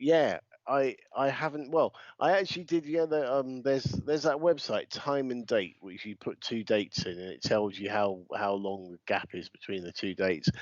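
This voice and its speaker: With a British accent, a man speaks at a moderate pace and medium pitch, his intonation lively and his loudness swinging widely. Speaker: podcast co-host and wrestling ring announcer. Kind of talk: casual chat.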